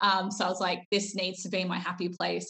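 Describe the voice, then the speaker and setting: The woman talks at a fairly quick pace. She has an Australian accent. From Melbourne, Australia. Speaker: drag king performer. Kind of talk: casual interview chat. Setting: video call.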